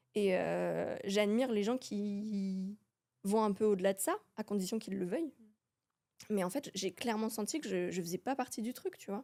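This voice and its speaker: Her medium pitch shows ordinary pitch variation as this woman speaks. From France. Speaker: hairdresser and makeup artist. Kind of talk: casual chat. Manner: hesitant.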